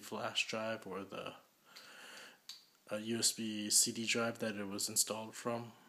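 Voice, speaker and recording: A man talks at a very slow pace. His intonation stays flat and monotone. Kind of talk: tutorial. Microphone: phone near.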